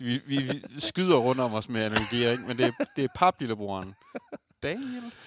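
The recording is dry and close with no echo as a man at medium pitch speaks at a moderate pace with ordinary pitch variation. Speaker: podcast host. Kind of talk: casual chat. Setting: studio.

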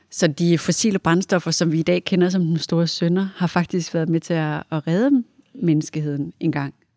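A woman speaks at a moderate pace with a fairly low pitch, a dark, mellow tone and very even loudness. The recording is very clean and dry, with a close sound, no echo and a silent background. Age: 40s. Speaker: design and technology centre director. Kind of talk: casual chat. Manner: halting with many fillers.

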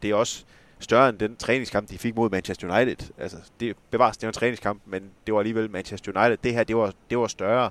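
A man speaks fairly quickly at a medium pitch with fairly even intonation. The sound is dry and close with no echo, on a very clean recording with a silent background. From West Jutland, Esbjerg area. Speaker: journalist and football club expert. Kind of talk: casual chat.

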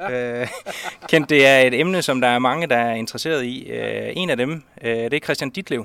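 The voice is an ordinary speaking voice, moving at a moderate pace with ordinary pitch variation. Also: man. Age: young. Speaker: sports reporter. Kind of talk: interview. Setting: outdoors.

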